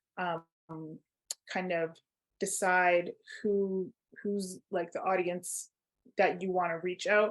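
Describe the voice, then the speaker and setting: A woman with a Canadian accent speaks at a very slow pace in a monotone, flat intonation, with long, frequent pauses. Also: medium pitch for a woman. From Toronto, Canada. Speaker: workshop facilitator. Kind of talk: online workshop.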